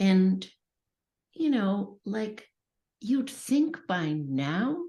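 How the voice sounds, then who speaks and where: Very slowly, a woman speaks in a dark, mellow, somewhat breathy voice with very wide pitch swings. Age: 60s. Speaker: author and early childhood educator. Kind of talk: podcast interview.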